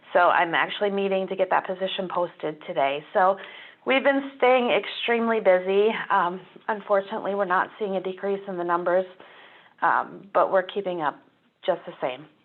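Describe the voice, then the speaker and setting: A woman's raspy, put-on character voice, medium in pitch with ordinary pitch variation, at a moderate pace. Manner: tired, worn.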